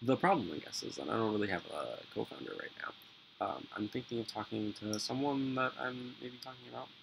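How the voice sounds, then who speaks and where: There is noticeable background noise behind the speaker. He is a man talking at a fairly quick pace. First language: Spanish. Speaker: vlogger. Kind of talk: casual vlog monologue. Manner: halting, many fillers.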